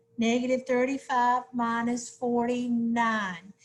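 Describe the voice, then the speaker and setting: A woman speaks at a high pitch. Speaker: math teacher. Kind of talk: tutorial.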